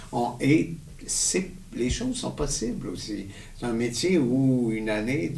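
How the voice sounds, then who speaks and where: A man speaks very slowly in a room with audible echo and noticeable background noise. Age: 60s. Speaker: stage actor. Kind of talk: casual chat.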